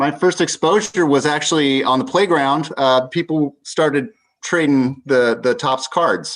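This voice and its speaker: A man with a fairly high pitch and an unremarkable speaking voice talks at a fairly slow pace. His pitch varies in an ordinary way, and his loudness stays very even. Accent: American. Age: 50s. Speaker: film company employee and collector. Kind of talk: casual chat.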